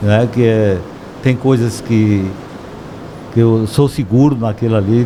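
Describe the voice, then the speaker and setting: A man of medium pitch keeps his intonation fairly even while noticeable noise runs in the background. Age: 60s. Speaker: shop owner. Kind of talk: podcast interview.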